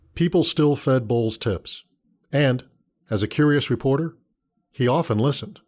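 A man with a fairly high voice speaks in a serious tone, with ordinary pitch variation, very even loudness, and long, frequent pauses. The recording is very clean, with a silent background. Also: moderate pace. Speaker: narrator. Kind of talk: true-crime narration. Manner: measured, grave storytelling pace; steady, matter-of-fact, serious.

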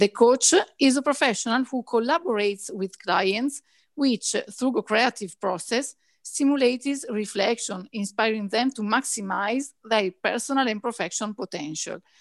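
Over a quiet background, a woman speaks in a normal speaking voice at a moderate pace, fairly high in pitch with ordinary variation, the sound dry and close with no echo. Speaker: veterinarian and dog trainer. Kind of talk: interview.

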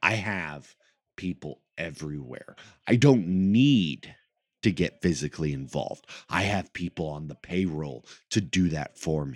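At a fairly slow pace, a man talks in a very deep, low voice with lively intonation, the sound dry and close with no echo. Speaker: podcast host and pro wrestler. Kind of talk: casual podcast monologue. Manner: hesitant, many fillers.

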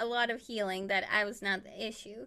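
At a moderate pace, a woman with a Spanish accent speaks in a bright, sharp tone, in a very clean recording with a silent background. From Chile. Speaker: illustrator and artist. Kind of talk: casual chat.

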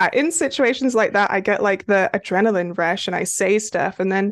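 The background is quiet. A woman of medium pitch speaks with lively intonation. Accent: British. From United Kingdom. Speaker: romance author. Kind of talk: casual interview chat.

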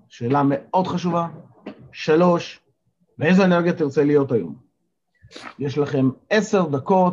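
With ordinary pitch variation, a man speaks at a fairly slow pace in a fairly high pitch. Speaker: life coach and morning zoom session leader. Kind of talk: motivational talk to online group. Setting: video call. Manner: energetic.

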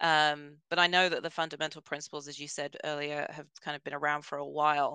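A woman with a British accent speaks at a very deep, low pitch with a bright, sharp tone, keeping a monotone, flat intonation at a fairly quick pace, her loudness swinging widely over a quiet background. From Britain. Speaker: learning and development director. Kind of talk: interview. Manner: hesitant with fillers.

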